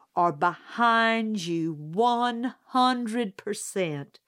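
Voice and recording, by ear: The pitch moves in an ordinary way. The text is read aloud in a natural voice.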